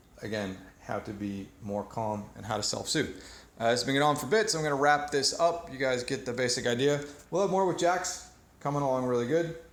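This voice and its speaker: Audible room echo surrounds a man speaking at a medium pitch. His intonation is lively and his pace fairly quick. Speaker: dog trainer. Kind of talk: training demonstration.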